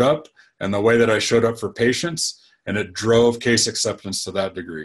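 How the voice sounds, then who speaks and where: This is a plain, everyday voice at a fairly quick pace. Pitch variation is ordinary, and the background is quiet. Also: man. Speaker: dentist and practice coach. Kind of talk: webinar-style talk.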